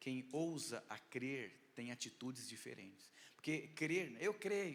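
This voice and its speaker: A man speaks in an animated tone. There is audible echo from the room. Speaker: pastor. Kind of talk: sermon.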